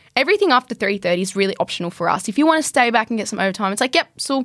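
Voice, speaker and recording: On a very clean recording with a silent background and a dry, close sound with no echo, a woman with an Australian accent talks very fast at a fairly high pitch. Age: young. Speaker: carpenter and builder. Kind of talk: casual interview.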